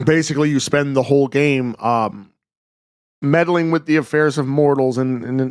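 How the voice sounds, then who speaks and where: With a normal speaking voice, a man at a fairly high pitch talks at a moderate pace with fairly even intonation. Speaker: podcast co-host. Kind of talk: casual chat.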